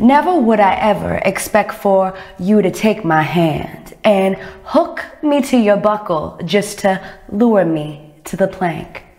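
Over noticeable background noise, a woman with a medium pitch speaks at a very slow pace. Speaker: poet. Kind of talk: spoken word poetry performance.

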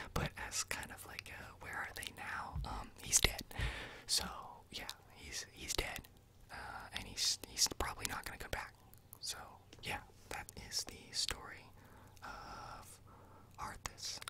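A man whispers at a very slow pace, with long, frequent pauses. Noticeable background noise runs underneath. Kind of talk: ASMR whispered storytelling of game lore. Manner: whispered, soft, slow, with hesitations.

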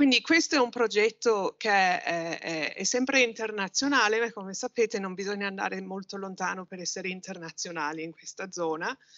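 A woman with an English accent talks at a fairly quick pace with hardly any pauses, ordinary pitch variation, and big swings in loudness. The background is quiet. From Britain. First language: English (speaking Italian). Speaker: university researcher, political sociologist. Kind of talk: conference presentation. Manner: halting, many fillers. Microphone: video call.

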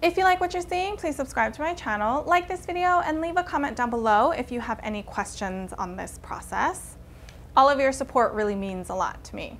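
Light background noise sits behind a woman who talks at a fairly quick pace and a high pitch, with very wide pitch swings. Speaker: fashion vlogger. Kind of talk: casual vlog tutorial. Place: home room. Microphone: lapel.

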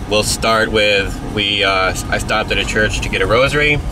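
Against noticeable background noise, a man speaks at a moderate pace in a fairly low voice, with a dry sound and no echo. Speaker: channel host. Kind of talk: casual vlog chat. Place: car. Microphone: phone near.

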